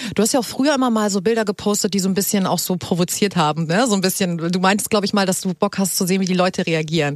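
A woman talks at a very fast pace and medium pitch, with ordinary pitch variation, very even loudness and hardly any pauses. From Hamburg, northern Germany. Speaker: radio host. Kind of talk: casual chat. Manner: animated.

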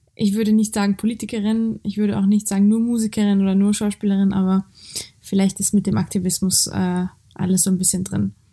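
A woman speaks at a fairly quick pace in a dark, mellow, somewhat breathy tone at medium pitch, her intonation monotone and flat. Loudness stays very even on a very clean recording with a silent background. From Hungary and Germany (born in Georgia). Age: 20s. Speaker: activist, author and actress. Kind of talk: interview. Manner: halting, many fillers.

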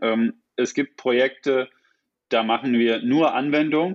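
A man with an unremarkable speaking voice talks at a fairly slow pace, medium pitch and ordinary pitch variation. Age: 40s. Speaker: applied research department head. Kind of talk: interview.

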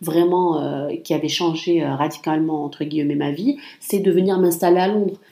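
The woman's voice is fairly low in pitch and dark, mellow in tone. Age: 30s. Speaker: podcast host. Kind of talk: casual solo monologue. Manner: hesitant, many fillers.

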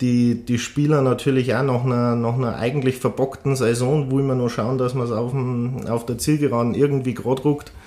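The intonation is monotone and flat. Delivery moves at a fairly quick pace. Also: man, medium pitch for a man. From Bavaria, Rosenheim. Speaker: former ice hockey player and club manager. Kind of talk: podcast interview. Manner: hesitant with repetitions.

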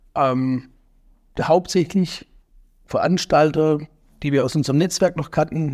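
His voice sits fairly high for a man. Nothing can be heard behind him on this very clean recording. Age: 40s. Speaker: entrepreneur, event organizer. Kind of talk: interview.

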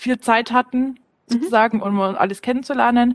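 A woman at a fairly slow pace with ordinary pitch variation, in a dry, close sound with no echo and a quiet background. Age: 20s. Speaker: business analyst. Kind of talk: interview. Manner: hesitant with fillers.

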